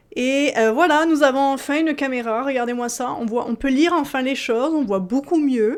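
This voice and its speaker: The woman's voice is high-pitched and animated. Her intonation is lively. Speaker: tarot reader. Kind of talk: tarot reading. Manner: fast.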